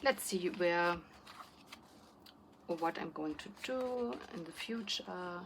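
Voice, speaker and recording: This woman has a fairly low pitch and ordinary pitch variation. Her pace is very slow. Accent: non-native. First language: not English. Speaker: planner YouTuber. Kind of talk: casual vlog chat. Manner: halting, many fillers and restarts.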